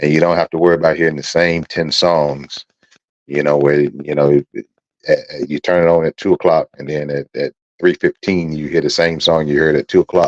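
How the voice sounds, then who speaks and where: The sound is dry and close, with no echo. A man speaks in a very deep, low pitch with flat, monotone intonation. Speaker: internet radio talk show host. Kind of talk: radio talk show monologue. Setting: internet radio studio. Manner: conversational, repetitive; fast.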